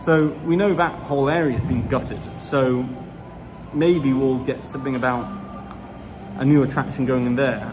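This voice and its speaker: A man with a British accent talks at a moderate pace in a medium pitch, with ordinary pitch variation and long, frequent pauses. Noticeable background noise and audible room echo come through in the recording. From Britain. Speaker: Disney news YouTuber. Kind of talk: casual livestream chat. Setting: outdoors in a theme park. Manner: casual, hesitant with fillers.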